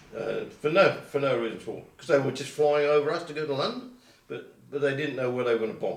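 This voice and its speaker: A man talks at a very fast pace and a fairly high pitch, with big swings in loudness. Audible room echo surrounds his voice. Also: ordinary pitch variation. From Colchester, Essex, England. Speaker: oral history interviewee. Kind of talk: oral history interview. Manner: halting.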